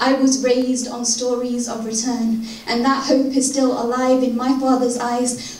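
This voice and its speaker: A high-pitched woman's voice at a moderate pace, flat and monotone, over noticeable background noise. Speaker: spoken word poet. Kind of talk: poetry reading.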